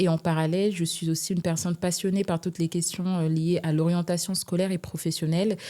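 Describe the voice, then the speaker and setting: In a very clean recording with a silent background, a woman with a fairly low pitch and a dark, mellow tone talks at a fairly quick pace with fairly even intonation. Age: 20s. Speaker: human resources manager. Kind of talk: interview.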